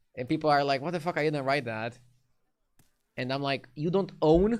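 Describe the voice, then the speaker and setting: With a slight Romanian accent, a man speaks at a fairly quick pace with ordinary pitch variation. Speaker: game streamer. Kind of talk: live stream chat. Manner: casual, animated.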